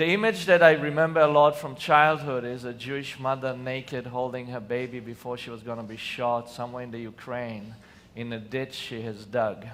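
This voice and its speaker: A man talks at a moderate pace with hardly any pauses, his medium pitch showing ordinary variation. His loudness swings widely, and room echo is audible. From Israel. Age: 40s. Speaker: nonviolence organization founder. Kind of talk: conference talk. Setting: stage with audience. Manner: passionate.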